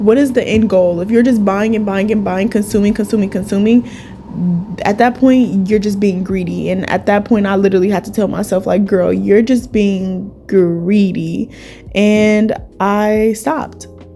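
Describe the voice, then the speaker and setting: A woman of medium pitch speaks with noticeable background noise behind her. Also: moderate pace. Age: 20s. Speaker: esthetician. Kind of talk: casual talk to camera. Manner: upbeat.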